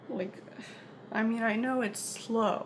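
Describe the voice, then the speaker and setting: Noticeable background noise and audible room echo surround a woman speaking at a fairly high pitch. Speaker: vlogger. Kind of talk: personal vlog monologue. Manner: soft-spoken; halting.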